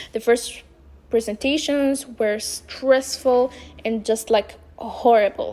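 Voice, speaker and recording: Speaking at a very slow pace with a non-native accent, a woman uses a high pitch and a dark, mellow tone, her intonation fairly even. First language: not English. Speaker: vlogger. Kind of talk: personal monologue. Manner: halting.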